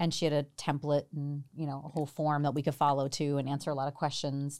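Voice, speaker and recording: Speaking very fast with an American accent, a woman has a very deep, low pitch, captured on a very clean recording with a silent background. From New Jersey. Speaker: doctor and professor. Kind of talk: interview.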